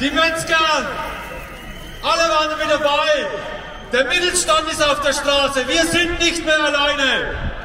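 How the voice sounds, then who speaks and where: A raised, projected voice moves at a fairly slow pace with long, frequent pauses, fairly even intonation and very even loudness. Light background noise and audible room echo can be heard. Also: man, extremely high pitch for a man. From Germany. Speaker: farmer activist; speaker. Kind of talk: rally speech. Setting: outdoor rally stage. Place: street.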